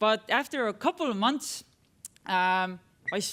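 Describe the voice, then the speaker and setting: A woman speaks at a moderate pace with an Estonian accent, her pitch fairly high. Her tone is bright and sharp, and her intonation is lively. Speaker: tech entrepreneur, conference speaker. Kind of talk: conference talk. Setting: stage with audience. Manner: halting, many fillers.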